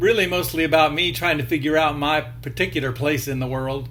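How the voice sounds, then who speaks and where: The voice shows ordinary pitch variation, with audible room echo around it. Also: man. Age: 60s. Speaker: video blogger. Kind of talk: casual monologue. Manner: hesitant, with frequent fillers.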